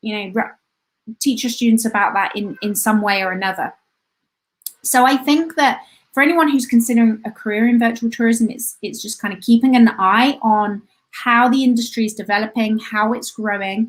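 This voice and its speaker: A woman's fairly high-pitched voice at a moderate pace, with ordinary pitch variation and big swings in loudness. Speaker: tourism lecturer. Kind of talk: live online talk. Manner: halting, many fillers.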